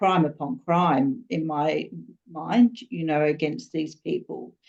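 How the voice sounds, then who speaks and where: With an Australian accent, a woman speaks at a very deep, low pitch. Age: 60s. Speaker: student. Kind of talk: class discussion. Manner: halting.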